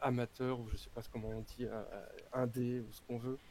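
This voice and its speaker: A man with a medium pitch. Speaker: actor and tabletop game author. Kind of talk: casual chat. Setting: live stream voice chat. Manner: halting, many hesitations.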